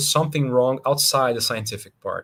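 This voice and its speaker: The speaker has a Brazilian Portuguese accent. The recording is very clean, with a silent background. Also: man. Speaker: scientist. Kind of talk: lecture. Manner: halting.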